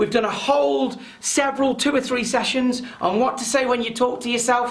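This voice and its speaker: Noticeable background noise accompanies speech delivered rather slowly. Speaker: presentation skills trainer. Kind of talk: webinar training session. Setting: online webinar. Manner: loud.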